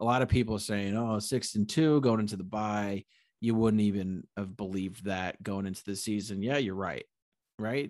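A man with an unremarkable speaking voice, fairly low pitch, ordinary pitch variation and an American accent, at a moderate pace over a quiet background. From Connecticut. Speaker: sports podcast host. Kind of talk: casual chat.

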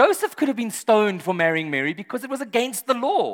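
A man speaks with an extremely high pitch that moves in very wide swings. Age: 40s. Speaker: pastor. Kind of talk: sermon. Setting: church service with live audience.

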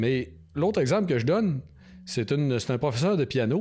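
A man with a Quebec accent, medium pitch and a dark, mellow tone, very wide pitch swings at a moderate pace, on a very clean recording with a silent background. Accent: Québécois French. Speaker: biologist and author. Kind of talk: interview.

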